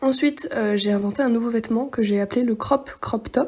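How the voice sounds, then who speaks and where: At a moderate pace and with fairly even intonation, a woman speaks over noticeable background noise. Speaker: sewing vlogger. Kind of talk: tutorial vlog narration. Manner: monotone; hesitant, many fillers.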